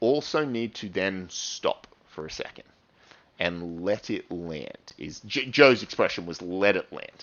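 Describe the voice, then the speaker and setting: An energetic tone carries this voice through very wide pitch swings. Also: man. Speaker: university lecturer. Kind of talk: recorded lecture. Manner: fast.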